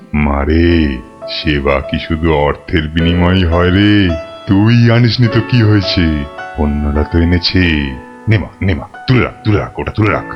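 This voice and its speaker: A man performs a cartoonish character voice at a very deep, low pitch and a moderate pace. Clear music plays in the background. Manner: fatherly, repetitive, calls women 'ma'.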